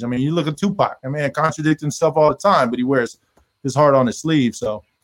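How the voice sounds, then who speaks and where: A man speaks fairly quickly with an American accent in a normal speaking voice, his pitch fairly high. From Texas (Killeen), military family. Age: 40s. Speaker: rapper and producer. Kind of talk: interview.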